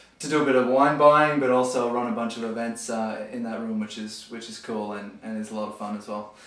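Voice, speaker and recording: At a fairly quick pace with hardly any pauses, a man with an Australian accent speaks at medium pitch with fairly even intonation and big swings in loudness, audible room echo around him. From Australia, near Sydney. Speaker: wine store manager. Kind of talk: casual interview. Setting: garage. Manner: halting with fillers.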